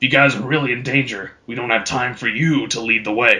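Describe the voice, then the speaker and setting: In a put-on character voice, a man sounds raspy, gruff and booming at medium pitch. He moves at a fairly quick pace with fairly even intonation. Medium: read story. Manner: rude, brusque, casual.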